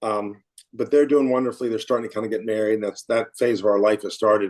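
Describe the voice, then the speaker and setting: Talking at a very fast pace, a man keeps a medium pitch and fairly even intonation. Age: 60s. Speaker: financial advisor and firm founder. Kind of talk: interview conversation. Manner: repetitive false starts.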